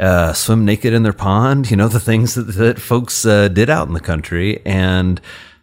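A man's plain, everyday voice with an American accent, fairly low in pitch, at a moderate pace, with ordinary pitch variation and very even loudness. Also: hardly any pauses. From US Midwest, rural Indiana. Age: 40s. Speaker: psychiatrist. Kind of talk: interview conversation.

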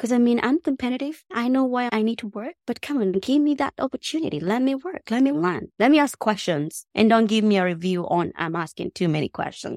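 A woman talks at a fairly quick pace with hardly any pauses, her fairly high pitch swinging very widely. The sound is dry and close, with no echo. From Kenya (Nairobi). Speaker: software engineer and tech founder. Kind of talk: interview. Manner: animated.

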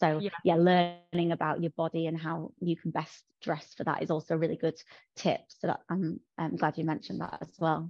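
With a Yorkshire accent, a woman with a fairly low pitch talks at a moderate pace and fairly even intonation, in a dry, close sound with no echo. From Yorkshire, northern England. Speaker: fashion and bridal content creator. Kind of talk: casual interview chat.

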